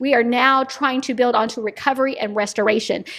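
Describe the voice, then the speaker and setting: Over noticeable background noise, a woman talks in an animated tone at a fairly quick pace. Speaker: nonprofit executive director. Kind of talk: interview conversation. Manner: fast.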